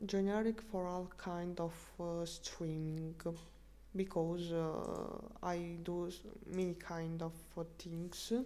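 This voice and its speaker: Very slowly, a woman speaks with fairly even intonation and a dark, mellow tone, with audible room echo around her. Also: fairly low pitch for a woman. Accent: Russian. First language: Russian. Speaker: streamer. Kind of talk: language-learning live stream. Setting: live stream. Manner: halting, many fillers.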